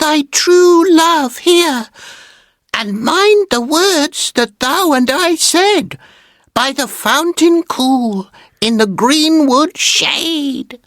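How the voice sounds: This is a put-on character voice, high-pitched and squeaky. It moves at a very slow pace.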